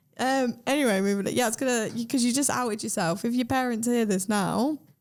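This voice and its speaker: A woman speaks at a very fast pace in a British accent, her pitch fairly high and loudness very even. The recording is very clean with a silent background. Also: ordinary pitch variation. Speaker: podcast host. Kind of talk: podcast interview. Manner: upbeat.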